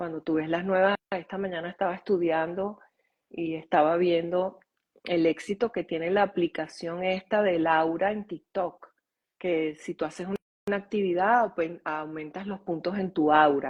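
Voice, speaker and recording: A woman's normal speaking voice, fairly low in pitch, with fairly even intonation and a fairly slow pace. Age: 60s. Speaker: author and holistic school founder. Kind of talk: interview conversation.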